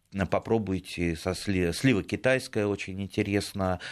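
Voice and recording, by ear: This man's voice sits low in pitch. Its pitch variation is ordinary. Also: moderate pace.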